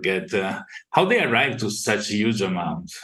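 In an ordinary speaking voice, a man talks at a fairly slow pace with fairly low pitch and fairly even intonation. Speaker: podcast host. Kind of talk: casual interview.

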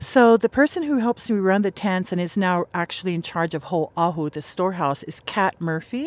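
A woman speaks at medium pitch and a fairly quick pace with hardly any pauses. Her intonation is lively, in a dry, close sound with no echo. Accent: Hawaiian. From Hawaii, Oahu (Makaha). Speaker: professor of Hawaiian religion, protest camp organizer. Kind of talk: interview.

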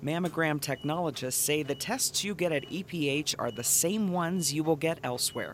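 Speaking at a moderate pace with hardly any pauses, a man uses a fairly high pitch and ordinary pitch variation in an ordinary speaking voice. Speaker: narrator of health promo. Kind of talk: scripted narration.

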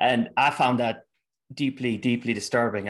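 A man with an Irish accent at a fairly quick pace, medium pitch, quiet background. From Ireland. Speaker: researcher and commentator on Antifa. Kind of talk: casual interview.

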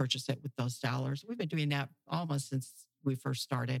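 A woman with an American accent, ordinary pitch variation, and a dry, close sound with no echo. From US Midwest, Naperville, Illinois. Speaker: charity organization president. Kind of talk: casual interview.

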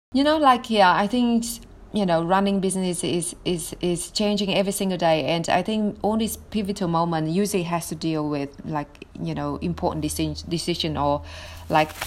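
Speaking with a Vietnamese accent, a woman has a fairly low-pitched voice. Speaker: marketing agency founder. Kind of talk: interview.

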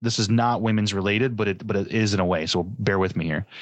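With an unremarkable speaking voice, a man talks at a fairly low pitch and a fairly quick pace, using ordinary pitch variation against a quiet background. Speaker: podcast host. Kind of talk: casual chat.

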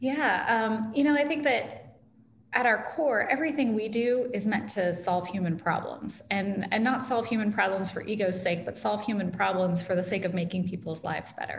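With audible room echo, a woman in an American accent speaks at a moderate pace, medium pitch and lively intonation. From US Midwest, Iowa (Ames). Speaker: tech company founder and author. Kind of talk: interview conversation.

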